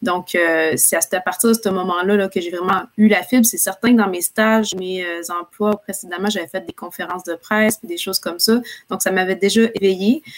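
The voice is a plain, everyday voice with fairly even intonation. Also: woman, medium pitch for a woman, moderate pace. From Quebec City. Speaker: public relations entrepreneur. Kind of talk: interview.

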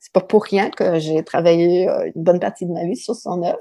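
A woman with an English accent speaks at a fairly quick pace in a dark, mellow tone. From southern Ontario, Canada. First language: English (speaking French). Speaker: writer and literature professor. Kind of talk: interview.

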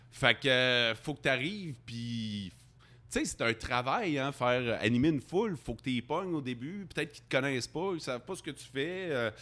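In a plain, everyday voice at medium pitch, a man talks at a moderate pace with lively intonation and big swings in loudness, on a very clean recording with a silent background. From Quebec, Abitibi-Témiscamingue. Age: 40s. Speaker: radio host. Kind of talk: casual chat. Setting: bar.

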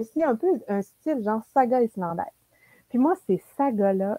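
A woman with a Quebec accent speaks at a fairly high pitch in a dark, mellow tone. The sound is dry and close, with no echo. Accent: Québécois French. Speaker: book YouTuber. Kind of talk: casual chat.

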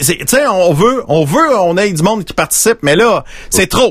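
In a Quebec accent, a man talks with lively intonation. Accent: Québécois French. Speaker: radio-style podcast host. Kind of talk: casual live show chat. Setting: video call.

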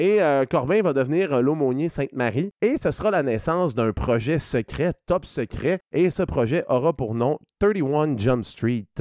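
A man's fairly high voice, lively in intonation and very even in loudness, unfolds at a very slow pace in a dry, close sound with no echo and a very clean recording with a silent background. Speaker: returning podcast guest. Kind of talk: casual chat.

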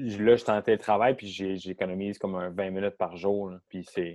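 In a Quebec accent, the voice moves at a fairly slow pace with a dark, mellow tone and fairly even intonation. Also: man. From Quebec, south shore of Montreal. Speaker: professional football player. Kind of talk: interview.

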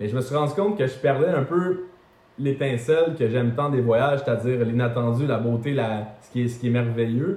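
In a Quebec accent, a man talks at a moderate pace and medium pitch with ordinary pitch variation and big swings in loudness, over noticeable background noise and audible room echo. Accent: Québécois French. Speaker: travel content creator. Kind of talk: interview.

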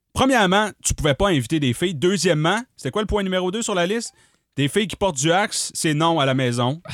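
A man talks at a fairly quick pace in a high pitch, with lively intonation and an animated tone. The recording is very clean and dry, close with no echo, against a silent background. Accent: Quebec. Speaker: comedy podcast host. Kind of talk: casual chat.

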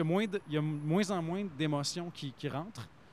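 Fairly high in pitch, a man talks at a fairly quick pace in a plain, everyday voice. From Quebec. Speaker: actor, author and radio announcer. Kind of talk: casual chat.

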